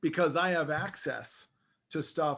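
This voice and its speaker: The tone is animated, set against a quiet background. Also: man. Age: 50s. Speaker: movement therapy executive. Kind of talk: casual chat.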